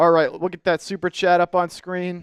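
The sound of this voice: A man with a high pitch talks at a moderate pace in a clear, smooth tone with little pitch movement, the sound dry and close with no echo.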